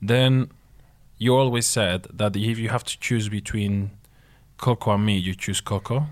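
A man with a Spanish accent talks at a fairly slow pace with a fairly low pitch and fairly even intonation. Long, frequent pauses break his speech, and the recording is very clean with a silent background. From southern Spain. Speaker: husband of host, guest. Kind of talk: casual chat.

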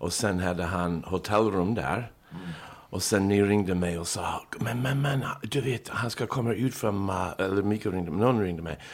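Here a man talks with an American accent at a fairly low pitch. His pace is moderate. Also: ordinary pitch variation. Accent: American accent in Swedish. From Chicago, US. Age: 50s. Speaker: entertainer. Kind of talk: casual chat.

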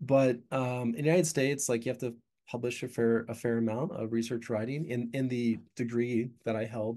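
Here a man talks at a medium pitch and a fairly quick pace. His intonation stays fairly even. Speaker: professor. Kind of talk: casual interview chat. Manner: halting, filler-heavy.

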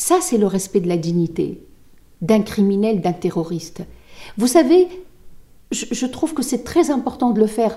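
A woman speaks at a fairly high pitch with very wide pitch swings and a dark, mellow tone. Somewhat breathy, she keeps a fairly slow pace with long, frequent pauses. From Tunisia. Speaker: lawyer. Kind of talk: interview. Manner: halting.

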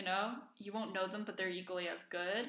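Audible room echo follows a woman speaking in a bright, sharp tone. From Iceland. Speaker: podcast co-host. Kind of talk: casual chat.

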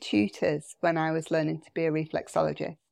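A woman's fairly low voice, dry and close with no echo, over a quiet background. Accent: British. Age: 50s. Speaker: therapist and leadership coach. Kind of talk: casual chat.

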